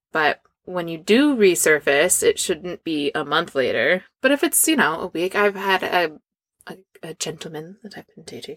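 On a very clean recording with a silent background, a woman's bright, sharp voice moves through very wide pitch swings. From Scandinavia. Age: 30s. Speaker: performer and business owner. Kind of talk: casual chat. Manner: animated.

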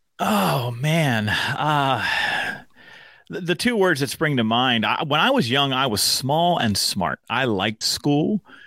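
In a very clean recording with a silent background, a man with a fairly high pitch and a bright, sharp tone speaks at a very slow pace with lively intonation. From Pennsylvania (central PA, then Pittsburgh). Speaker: workplace speaker, author and podcast host. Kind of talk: casual chat.

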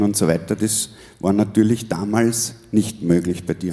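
A man's voice has a dark, mellow tone. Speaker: podcast host and musician. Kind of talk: live stage interview. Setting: stage with audience.

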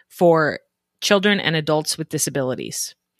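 A woman with a General American accent speaks in a bright, sharp, animated tone at a fairly low pitch, with ordinary pitch variation. The sound is dry and close with no echo, and the recording is very clean over a silent background. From Colorado, Denver suburbs. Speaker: podcast host for moms. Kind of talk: casual interview and storytelling. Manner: animated, laughing.

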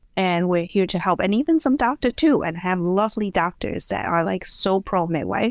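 Speaking with a Chinese accent, a woman uses lively intonation at medium pitch with hardly any pauses, on a very clean recording with a silent background and a dry, close sound with no echo. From Hong Kong. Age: 30s. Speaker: midwife. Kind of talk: casual interview.

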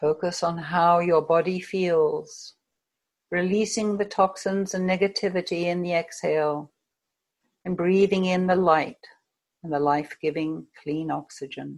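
With an American accent, a woman has an ordinary speaking voice, fairly low in pitch, with fairly even intonation at a fairly slow pace. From United States. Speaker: hypnotherapist. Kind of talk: guided hypnosis session, guided meditation. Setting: video call.

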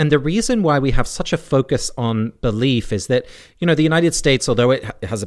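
A man with an English accent speaks at a fairly quick pace. His intonation is lively, and the background is quiet. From England. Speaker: divinity scholar. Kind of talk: interview.

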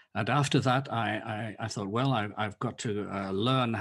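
A man with an English accent speaks at a medium pitch with ordinary pitch variation. The recording is very clean, with a silent background. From England. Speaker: ministry founder and author. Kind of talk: interview. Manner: halting.

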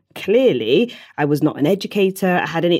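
On a very clean recording with a silent background, a woman with a Bristol accent speaks in a dark, mellow tone. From Bristol, south-west England. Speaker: teacher and TEDx speaker. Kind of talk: interview.

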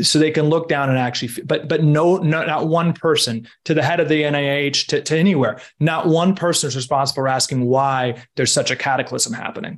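Using a normal speaking voice, a man talks at a fairly quick pace with fairly high pitch and fairly even intonation. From Washington D.C., US. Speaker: health entrepreneur, former food and pharma consultant. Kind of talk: interview.

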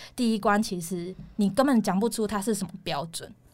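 The speaker is a woman with a plain, everyday voice. Her pitch varies in an ordinary way. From Taiwan. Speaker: former flight attendant now in tech sales. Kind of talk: casual interview chat.

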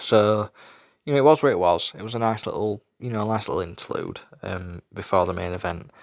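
With a Yorkshire accent, a man talks at a medium pitch in a dry, close sound with no echo. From Yorkshire, England. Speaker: wrestling show reviewer. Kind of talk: solo show review. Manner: hesitant, many fillers.

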